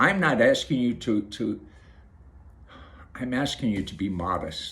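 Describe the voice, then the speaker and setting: Speaking fairly slowly, a man delivers his lines with lively intonation. His pitch sits in the medium range. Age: 60s. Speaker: video blogger. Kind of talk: casual monologue to camera. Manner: halting, repeats words.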